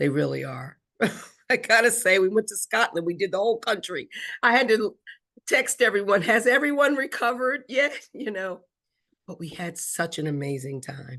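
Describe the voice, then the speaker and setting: An animated woman with an American accent speaks at a moderate pace in a bright, sharp tone of medium pitch, with very wide pitch swings, big swings in loudness and vocal fry. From Philadelphia. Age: 60s. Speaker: wine tour business owner. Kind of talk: interview.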